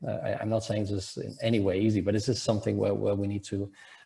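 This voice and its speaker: With vocal fry, a man speaks at a fairly low pitch. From Germany. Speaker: economist, panel discussant. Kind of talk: panel discussion. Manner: halting, many fillers and repetitions.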